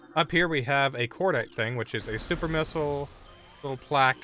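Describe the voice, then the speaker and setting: With music in the background, a man talks fairly quickly at a medium pitch and ordinary pitch variation. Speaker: video game streamer. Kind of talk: live gameplay stream chat. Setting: live stream at home, headset removed. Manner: loud; casual, conversational.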